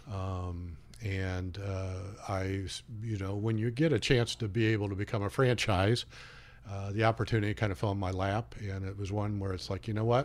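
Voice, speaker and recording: Here a man speaks with fairly low pitch and ordinary pitch variation. His pace is moderate. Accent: Midwestern American. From Indiana, US Midwest. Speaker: smoothie cafe franchise owner. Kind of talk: radio interview. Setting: radio studio.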